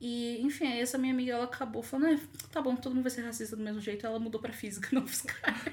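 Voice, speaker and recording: The intonation is fairly even. Background noise is noticeable throughout. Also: woman. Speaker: podcast guest, student. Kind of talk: casual chat.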